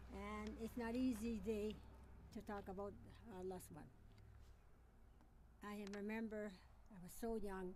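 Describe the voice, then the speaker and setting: With a Quebec accent, a woman speaks at medium pitch and a fairly slow pace in monotone, flat intonation, leaving long, frequent pauses, with noticeable background noise and audible room echo. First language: French. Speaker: miner's widow giving tribute. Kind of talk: memorial speech. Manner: halting.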